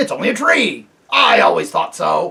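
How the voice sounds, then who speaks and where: A man doing a put-on character voice at a moderate pace. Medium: read story. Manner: smug, stubborn.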